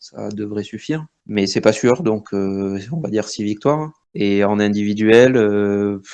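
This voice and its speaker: At a very slow pace, a man speaks in a fairly low pitch with a dark, mellow tone. His pitch varies in an ordinary way over a quiet background. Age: 30s. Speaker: gamer. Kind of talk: interview. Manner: hesitant.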